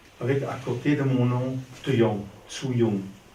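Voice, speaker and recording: There is audible room echo in this clip. A man speaks at a medium pitch. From Belgium, Ostend. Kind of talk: improvised speech.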